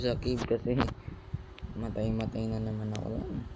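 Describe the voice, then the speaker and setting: A soft-spoken man talks at a fairly quick pace. The room echo is audible, and there is noticeable background noise. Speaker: gaming youtuber. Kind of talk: gameplay commentary. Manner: halting.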